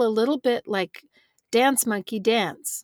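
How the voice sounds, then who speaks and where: This woman's voice sits fairly high, with ordinary pitch variation at a moderate pace. The sound is dry and close, with no echo. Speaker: bereaved mother and writer. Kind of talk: casual interview conversation. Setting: remote recording from a small clothes closet.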